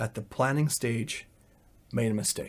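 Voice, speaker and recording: A man with a Canadian accent speaks at a moderate pace with fairly even intonation. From Canada. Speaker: volunteer and IT worker. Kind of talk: interview. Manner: hesitant, filler-heavy.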